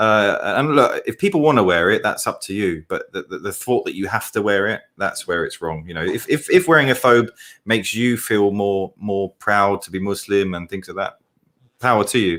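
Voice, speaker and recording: This man has an English accent and speaks at a moderate pace. The recording is very clean, with a silent background. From England. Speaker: co-host, convert to Islam. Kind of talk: casual chat.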